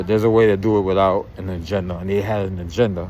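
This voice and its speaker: Speaking at a fairly quick pace with a New York accent, a man with a fairly low pitch is heard with audible room echo. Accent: New York City. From Brooklyn, New York. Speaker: YouTube commentator. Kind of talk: casual monologue. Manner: halting.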